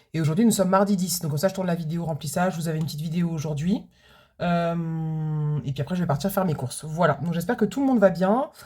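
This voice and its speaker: In a very clean recording with a silent background, a woman talks at a very fast pace, her fairly low pitch carrying a dark, mellow, somewhat breathy tone with ordinary pitch variation. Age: 40s. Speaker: budgeting vlogger, food truck owner. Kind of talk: casual vlog chat. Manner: hesitant, many fillers.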